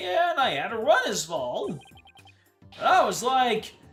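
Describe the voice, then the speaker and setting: In a put-on character voice with a fairly high pitch and very wide pitch swings, the speaker goes at a fairly slow pace over faint background music. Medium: game stream. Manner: excitable, casual slangy.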